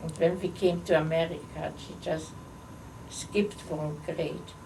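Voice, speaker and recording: A woman's fairly low, dark, mellow voice with vocal fry, fairly even intonation, and audible room echo. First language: not English. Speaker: holocaust survivor. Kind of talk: oral history interview. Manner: halting.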